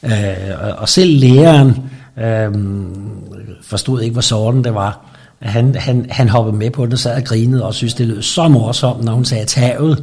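Medium pitch from a man, fairly slow and fairly even in intonation, with long, frequent pauses and noticeable background noise. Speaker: interviewee. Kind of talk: interview. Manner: halting.

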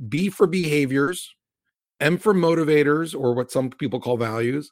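A man with an American accent and an unremarkable speaking voice talks at a moderate pace with lively intonation, in a dry, close sound with no echo. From US Mid-Atlantic (Maryland and Virginia), Cuban American family. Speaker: tech company CEO. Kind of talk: interview.

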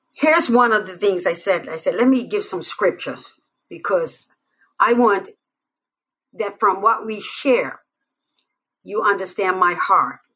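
Speaking at a fairly slow pace with long, frequent pauses, a woman has a bright, sharp tone and lively intonation. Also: medium pitch for a woman. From Bermuda. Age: 50s. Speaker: pastor. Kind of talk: live stream talk with scripture.

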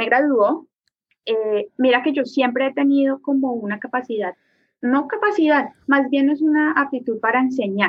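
Her pitch is high, and this woman's voice rises and falls in an ordinary way. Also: moderate pace. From Colombia. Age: 30s. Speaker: artist. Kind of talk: casual interview.

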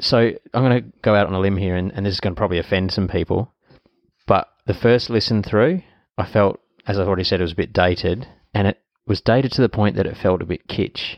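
With a fairly low pitch and ordinary pitch variation, a man speaks at a very fast pace. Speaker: podcast host.

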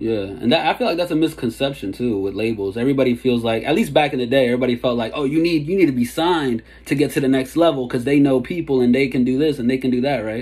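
This man has an American accent. He speaks at a very fast pace with hardly any pauses. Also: medium pitch for a man, ordinary pitch variation. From DC and Maryland area. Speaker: hip-hop interviewer. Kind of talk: interview. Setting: video call. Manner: casual.

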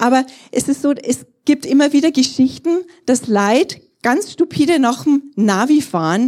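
A high-pitched woman with a dark, mellow tone, lively intonation and a fairly slow pace. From Bavaria, Germany (Trostberg). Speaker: pastor. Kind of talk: sermon.

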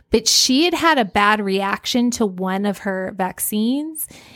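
A woman's plain, everyday voice at a medium pitch, fairly slow, in a very clean recording with a silent background. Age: 40s. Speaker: podcast co-host, homeschooling mother. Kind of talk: casual chat. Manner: laughs often.

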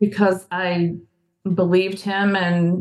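A woman with a normal speaking voice and fairly even intonation. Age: 60s. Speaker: counseling guest. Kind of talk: personal testimony in counseling session.

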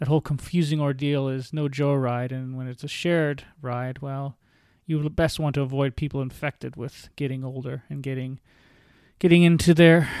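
A man with a Canadian accent and an unremarkable speaking voice, fairly high pitch, fairly even intonation, moderate pace and big swings in loudness, on a very clean recording with a silent background. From Ontario, Canada (St. Catharines). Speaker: podcast host sharing illness recovery story. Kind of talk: personal monologue.

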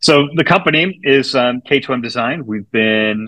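A man with an American accent talks at a moderate pace and medium pitch. His tone is bright and sharp, and his pitch varies an ordinary amount.

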